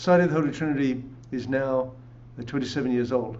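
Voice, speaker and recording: A man's very fast, medium-pitched speech in an English accent, fairly even in intonation, with audible room echo. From England. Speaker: pastor. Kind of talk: interview.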